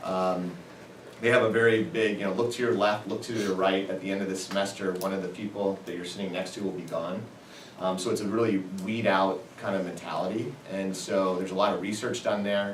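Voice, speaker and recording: A man with an American accent talks at a fairly quick pace in a fairly low voice. Noticeable background noise and audible room echo fill the recording. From US Midwest, Indianapolis. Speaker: entrepreneur. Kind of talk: guest lecture. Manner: fast; energetic.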